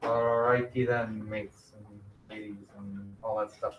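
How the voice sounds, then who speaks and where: A man's voice with a bright, sharp tone. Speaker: middle school math teacher. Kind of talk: classroom lesson. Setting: classroom with virtual students. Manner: loud.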